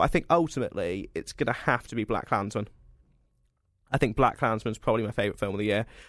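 A man talks very fast with ordinary pitch variation, on a very clean recording with a silent background. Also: medium pitch for a man. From Cornwall, England. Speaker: podcast co-host. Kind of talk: casual chat.

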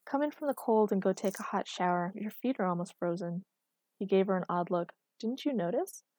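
Against a quiet backdrop, the clip is reading aloud in a natural voice.

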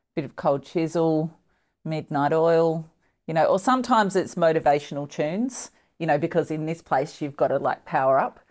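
Speaking at a moderate pace with an Australian accent, the voice shows ordinary pitch variation. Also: woman, fairly low pitch for a woman. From Tasmania, Australia. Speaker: politician, former foreign correspondent. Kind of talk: casual interview.

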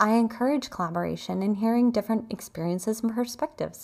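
In a normal speaking voice with ordinary pitch variation, a woman talks at a fairly quick pace over a very clean recording with a silent background. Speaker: guided meditation host. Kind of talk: guided meditation.

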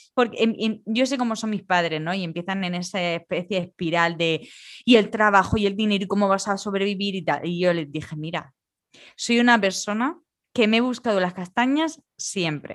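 An unremarkable speaking voice from a woman, medium-pitched with ordinary pitch variation, at a moderate pace over a quiet background. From Spain. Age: 30s. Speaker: podcast co-host. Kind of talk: casual chat.

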